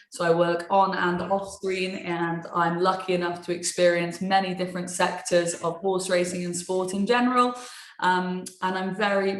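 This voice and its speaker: A woman with a British accent speaks at a medium pitch. Audible room echo and noticeable background noise surround her voice. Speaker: sports TV presenter and webinar moderator. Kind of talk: webinar moderation. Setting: online webinar. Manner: informal, chatty.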